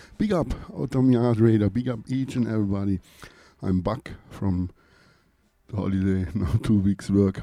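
In a German accent, a man speaks at a moderate pace with a fairly low pitch and ordinary pitch variation. His tone is dark, mellow and relaxed, broken by long, frequent pauses. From Lake Constance, Germany. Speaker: reggae radio DJ. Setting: studio radio show, mic in hand. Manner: relaxed, friendly.

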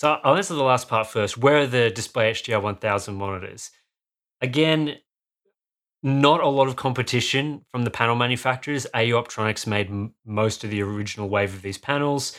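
A man with an Australian accent speaks at a fairly quick pace in a medium pitch. His pitch variation is ordinary, and the recording is very clean with a silent background. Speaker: hardware reviewer. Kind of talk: casual chat.

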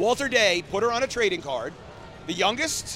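A man with a high-pitched, raised, projected voice speaks at a moderate pace. His intonation is lively. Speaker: arcade owner and record-holding gamer. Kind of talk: casual chat. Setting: live at a convention with audience.

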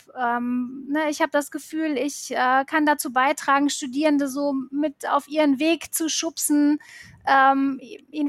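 Her high-pitched voice stays monotone and flat as the woman speaks in a dry, close sound with no echo. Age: 40s. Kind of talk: interview. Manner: hesitant, many filler sounds.

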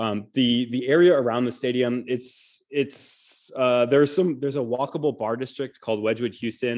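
With an American accent, a man talks at a fairly quick pace in an ordinary speaking voice, his pitch medium and his intonation fairly even. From Michigan, US Midwest. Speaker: sports journalist. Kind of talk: casual interview.

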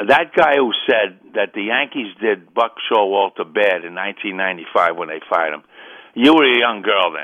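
A man with a New York accent and a fairly low pitch talks at a fairly slow pace. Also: lively intonation. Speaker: caller. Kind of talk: call-in sports talk. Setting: phone call.

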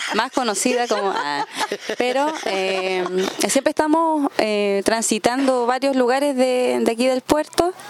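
A woman's high voice, fairly slow and lively in intonation, over noticeable background noise. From Coyhaique, southern Chile. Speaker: folk musician and music teacher. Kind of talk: radio interview.

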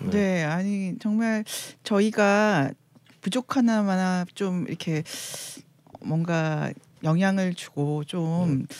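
A woman at a medium pitch talks at a very slow rate, leaving long, frequent pauses, her pitch varying in an ordinary way. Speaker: guest panelist. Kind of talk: casual chat.

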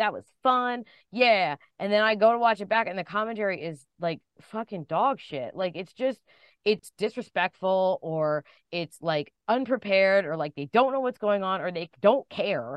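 A woman with a plain, everyday voice speaks at a moderate pace and medium pitch, her intonation lively. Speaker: pro wrestling commentator. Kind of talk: casual interview. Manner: chatty, rambling, self-deprecating.

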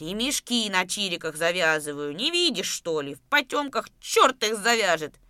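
A female-sounding, put-on character voice rumbles at a middle pitch. It moves at a moderate pace with hardly any pauses. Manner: grumbling.

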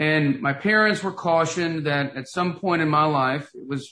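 Ordinary pitch variation and a fairly high pitch from a man. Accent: Tennessee. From US South, Knoxville, Tennessee. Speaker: author and motivational speaker. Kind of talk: interview.

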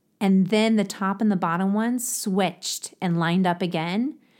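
A woman's animated, medium-pitched voice with a slight Ohio accent and ordinary pitch variation, on a very clean recording with a silent background. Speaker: podcast host. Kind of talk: casual chat, interview. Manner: chatty, animated.

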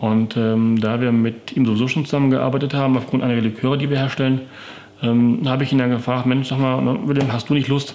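A man at a medium pitch, with fairly even intonation and a fairly quick pace. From Paderborn, Westphalia, Germany. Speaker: whisky merchant and distiller. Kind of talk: interview. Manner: hesitant with frequent fillers.

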